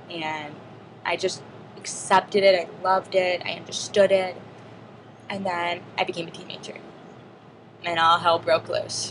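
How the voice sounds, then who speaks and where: Over noticeable background noise, a woman with a fairly low pitch speaks at a moderate pace in a monotone, flat way, with big swings in loudness and long, frequent pauses. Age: 20s. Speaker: deaf student vlogger. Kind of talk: personal video diary monologue.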